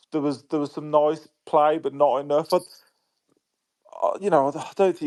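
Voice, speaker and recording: Fairly even intonation runs through speech at a moderate pace. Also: man. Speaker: football podcast co-host. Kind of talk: podcast discussion.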